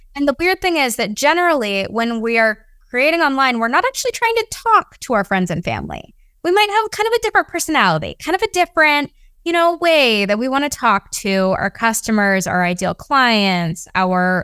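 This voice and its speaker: A woman's high voice, bright and sharp, with very wide pitch swings, moderate pace, dry, close sound with no echo. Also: very clean recording, silent background. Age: 20s. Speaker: social media strategist. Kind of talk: casual chat.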